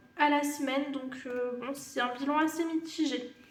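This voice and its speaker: A woman speaks with a high pitch and monotone, flat intonation. Audible room echo surrounds her voice. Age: 30s. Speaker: budgeting YouTuber. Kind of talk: casual vlog tutorial. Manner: hesitant, many fillers.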